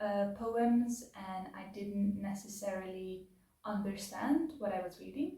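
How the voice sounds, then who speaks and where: Speaking at a fairly slow pace, a woman with a medium-pitched, dark, mellow and somewhat breathy voice shows ordinary pitch variation and big swings in loudness, with audible echo from the room. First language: not English. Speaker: book reviewer / video essayist. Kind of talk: casual spoken book review. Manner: hesitant, many filler words.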